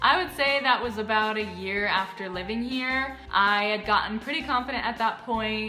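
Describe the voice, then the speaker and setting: A woman with an American accent talks at a fairly high pitch with ordinary pitch variation over music in the background. Her pace is moderate, with hardly any pauses. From Midwestern US. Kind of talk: casual talk to camera.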